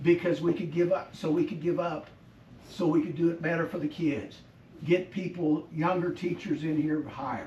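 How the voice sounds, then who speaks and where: Noticeable background noise surrounds a man with a high pitch. He keeps a moderate pace and fairly even intonation. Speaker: school board member. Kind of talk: meeting discussion.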